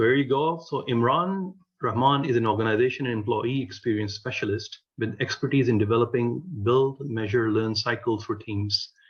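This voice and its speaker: Speaking at a moderate pace, a man with a medium pitch sounds somewhat breathy and uses ordinary pitch variation. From Pakistan. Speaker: vlog host. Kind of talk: interview.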